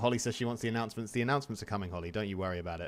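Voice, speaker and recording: Talking at a very fast pace, a man speaks. He has an English accent. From England. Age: 30s. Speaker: video game streamer. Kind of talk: live gameplay commentary. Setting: live stream. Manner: casual, chatty.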